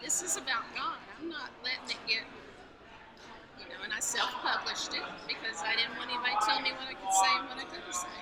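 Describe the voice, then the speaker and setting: A woman talks very fast in a high voice with lively intonation and long, frequent pauses, while noticeable background noise and audible room echo fill the recording. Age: 60s. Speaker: author. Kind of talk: interview.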